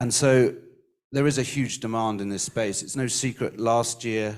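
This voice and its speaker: A man with an English accent speaks at a fairly slow pace. His fairly low voice keeps a fairly even intonation. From England. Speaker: recruitment industry speaker. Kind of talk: conference panel remarks. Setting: livestreamed summit.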